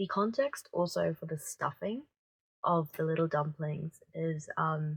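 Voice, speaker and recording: A woman's very deep, low, somewhat breathy voice at a fairly slow pace, with a dry, close sound and no echo. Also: ordinary pitch variation. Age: 20s. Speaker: knitting podcaster, library worker. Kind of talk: casual chat. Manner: hesitant, many fillers. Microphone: phone recording.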